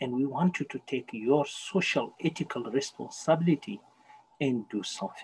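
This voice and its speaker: At a moderate pace, a man talks in a dark, mellow tone that is somewhat breathy, with ordinary pitch variation. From Senegal. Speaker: university human rights educator. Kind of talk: interview.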